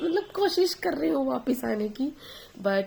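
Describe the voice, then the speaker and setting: The speaker is a woman. She goes at a fairly slow pace. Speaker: vlogger, new mother. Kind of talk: casual vlog talk. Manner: hesitant, many fillers.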